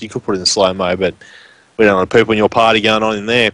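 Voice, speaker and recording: Speaking very fast, a man with a strong Australian accent keeps a monotone, flat intonation. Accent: strong rural Australian. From Australia (rural Western Queensland). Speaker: esports shoutcaster. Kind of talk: live commentary.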